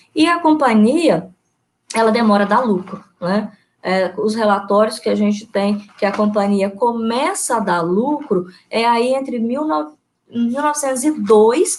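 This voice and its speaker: Her intonation lively, a woman speaks in a fairly high voice. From Brazil, Espírito Santo (Alegre, Caparaó region). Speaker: history teacher and researcher. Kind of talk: online lecture presentation. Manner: hesitant, many fillers.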